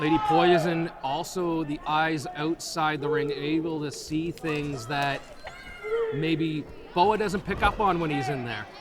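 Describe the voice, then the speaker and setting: A man in a fairly high pitch with ordinary pitch variation, fairly slow, amid noticeable background noise. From New Brunswick, Canada. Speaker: wrestling commentator, manager. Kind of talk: live pro wrestling color commentary.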